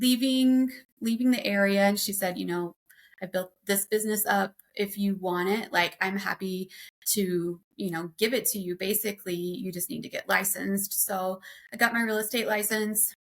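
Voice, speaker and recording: With an American accent, a woman speaks at a moderate pace, medium pitch and fairly even intonation. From Oklahoma. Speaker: transaction coordinator, business owner. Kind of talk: podcast interview. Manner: casual, many fillers.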